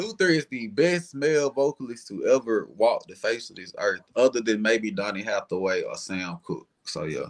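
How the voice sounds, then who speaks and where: Here a man talks in a Southern US accent, animated in tone. His loudness swings widely, and his pace is moderate. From US South, Alabama. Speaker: R&B singer. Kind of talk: casual chat.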